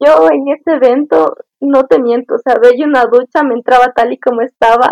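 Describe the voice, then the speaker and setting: At a moderate pace, a woman speaks in a high pitch with ordinary pitch variation, the sound dry and close with no echo. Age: 20s. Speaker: university student, scout. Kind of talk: casual interview.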